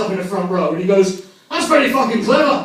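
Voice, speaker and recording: A man with an English accent talks fairly quickly with ordinary pitch variation, amid noticeable background noise and audible room echo. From England. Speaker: comedian. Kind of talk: stand-up. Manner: animated.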